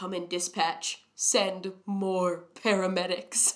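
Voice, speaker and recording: In a put-on character voice, a female-sounding speaker talks at a very slow pace and a medium pitch. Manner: polite, calm, gentle.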